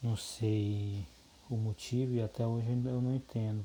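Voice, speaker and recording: A man with a medium pitch speaks in a dark, mellow, somewhat breathy tone, his intonation fairly even. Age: 30s. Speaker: course instructor, soil lab technician. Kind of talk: lecture. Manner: halting.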